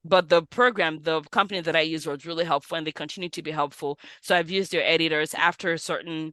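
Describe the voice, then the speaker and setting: Over a quiet background, a woman with a non-native accent talks at a very fast pace, her fairly low voice bright and sharp in a dry, close sound with no echo. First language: not English. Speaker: physician and money coach, author. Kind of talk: podcast interview.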